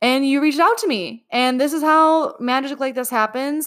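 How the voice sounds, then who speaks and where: A woman is speaking. Her pace is moderate. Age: 20s. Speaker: podcast host and dance teacher. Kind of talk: casual chat. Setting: remote call.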